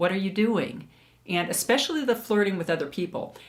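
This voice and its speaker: A woman with a plain, everyday voice speaks at a medium pitch and a moderate pace, her intonation lively. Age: 60s. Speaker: beauty vlogger. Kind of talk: personal testimony. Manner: casual, conversational.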